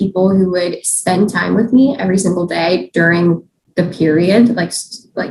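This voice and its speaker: Her pitch moves with ordinary variation. The woman's voice sounds somewhat breathy. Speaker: dirt biker and YouTuber. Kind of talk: podcast interview. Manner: casual, many fillers.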